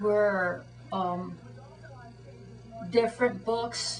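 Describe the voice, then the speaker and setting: A woman's voice with music in the background. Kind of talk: interview answer. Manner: halting, hesitant, repetitive.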